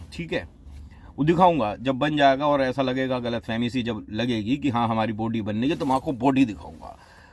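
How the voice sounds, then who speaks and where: A man with a normal speaking voice, medium in pitch with ordinary pitch variation, at a moderate pace. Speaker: radio jockey. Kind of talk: casual talk to camera. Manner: humorous storytelling.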